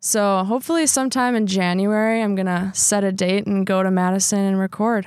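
A woman with an unremarkable speaking voice speaks at a medium pitch and a moderate pace. Her intonation is fairly even, and the recording is very clean with a silent background. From Wisconsin (Sheboygan Falls). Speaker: reporter and musician. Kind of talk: casual interview.

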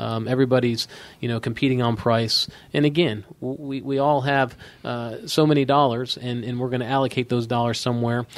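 Speaking at a fairly quick pace, a man uses a plain, everyday voice. His pitch is medium and his intonation fairly even. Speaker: insurance company president. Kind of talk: interview.

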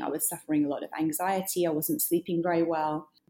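Speaking at a moderate pace, a woman with a British accent has a dark, mellow tone and a fairly low pitch. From Britain. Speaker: author and journalist. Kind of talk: interview.

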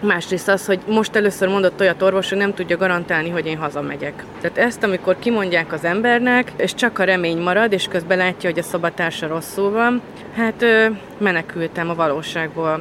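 Noticeable background noise sits behind a woman speaking. She talks at a fairly quick pace and medium pitch with fairly even intonation. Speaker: COVID survivor, mother. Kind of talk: interview testimony.

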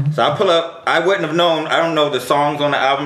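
Noticeable background noise and audible room echo surround a voice with an American accent. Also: man. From New York (Brooklyn). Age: 30s. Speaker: DJ. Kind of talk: casual chat.

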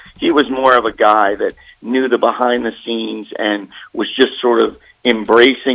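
A man speaks with an American accent at medium pitch. His intonation is monotone and flat. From Maryland. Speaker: sports broadcaster. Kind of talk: interview. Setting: phone call.

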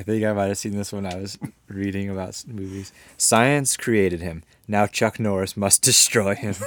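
A plain, everyday voice from a man, at a moderate pace with fairly even intonation. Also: fairly low pitch for a man, very clean recording, silent background. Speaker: podcast host. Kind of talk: casual chat.

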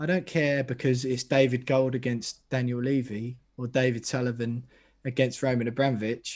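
The man's voice sits at a medium pitch. His delivery stays monotone and flat. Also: moderate pace. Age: 20s. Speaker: football podcaster, West Ham fan. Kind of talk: casual chat.

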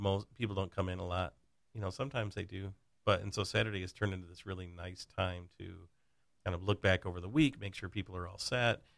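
On a very clean recording with a silent background, a man with a very deep, low pitch and an American accent talks at a very fast pace, his intonation fairly even but his loudness swinging widely. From western Michigan. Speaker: insurance agent. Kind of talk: casual chat.

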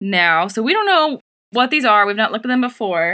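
In a very clean recording against a silent background, a woman speaks with a bright, sharp tone. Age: 20s. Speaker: podcast co-host. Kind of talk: casual chat.

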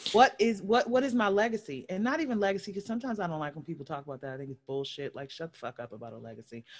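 A woman with an American accent at a medium pitch, very fast and with hardly any pauses, with very wide pitch swings and big swings in loudness. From Baltimore and Los Angeles. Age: 40s. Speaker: podcast host. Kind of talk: casual chat.

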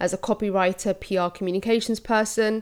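A woman speaks with a London accent at a fairly quick pace. Her medium-pitched voice is monotone, with flat intonation. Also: very clean recording, silent background. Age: 40s. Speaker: podcaster and creative coach. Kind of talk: solo podcast monologue.

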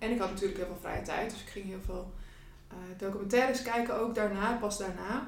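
With audible room echo and noticeable background noise, a woman speaks at medium pitch and a fairly quick pace, her pitch varying in an ordinary way. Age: 30s. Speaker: student coach and entrepreneur. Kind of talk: casual chat.

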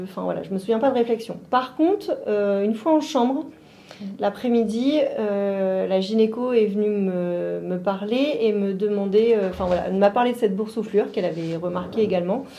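A woman speaks at a moderate pace with a fairly high pitch and ordinary pitch variation. Audible room echo surrounds her voice. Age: 40s. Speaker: mother of a child with Down syndrome. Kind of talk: interview testimony. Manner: halting.

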